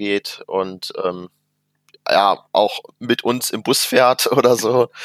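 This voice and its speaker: A man speaks with monotone, flat intonation. The recording is very clean, with a silent background. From Germany, Mönchengladbach area (Rheindalen). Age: 20s. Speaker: youth association committee member and student. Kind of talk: casual chat.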